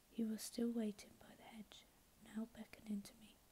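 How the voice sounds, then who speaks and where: Soft-spoken and somewhat breathy, a woman talks at a moderate pace in a fairly high but dark, mellow voice with monotone, flat intonation over light background noise. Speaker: ASMR YouTuber reading audiobook-style. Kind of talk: ASMR sleep reading of a novel. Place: home room.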